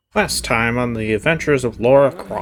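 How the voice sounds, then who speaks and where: This is a put-on character voice from a man. The pitch lands in a middle register. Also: moderate pace. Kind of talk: 1940s announcer voice. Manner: dramatic serial-trailer delivery.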